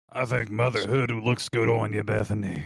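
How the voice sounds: A man does a raspy, put-on character voice at medium pitch. He keeps a moderate pace and fairly even intonation.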